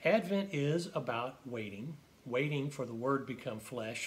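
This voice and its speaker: A man with an American accent talks at a moderate pace, his voice somewhat breathy. His pitch is fairly high, with ordinary variation. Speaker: pastor. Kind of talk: sermon-style devotional reflection. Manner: calm, measured.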